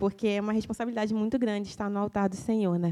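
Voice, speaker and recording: In a very clean recording with a silent background, a woman talks at a medium pitch with a dark, mellow tone. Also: dry, close sound with no echo. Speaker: lay preacher. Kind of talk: sermon.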